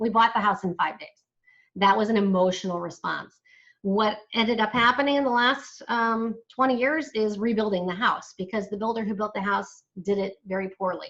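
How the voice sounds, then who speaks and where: A woman's unremarkable speaking voice, fairly high in pitch with ordinary variation, at a moderate pace over a quiet background. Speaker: senior move manager and business owner. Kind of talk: webinar presentation. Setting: live online webinar streamed to Facebook.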